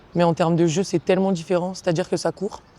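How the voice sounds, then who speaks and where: A woman speaks at a medium pitch. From southern France, Marseille area, raised in Montpellier from 15. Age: 20s. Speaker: professional basketball player. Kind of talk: casual interview. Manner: hesitant with many fillers.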